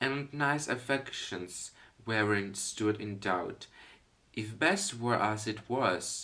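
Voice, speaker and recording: A man speaks very slowly in a bright, sharp voice of medium pitch. His pitch varies in an ordinary way. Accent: non-native. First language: not English (non-native speaker). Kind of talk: casual intro talk to camera.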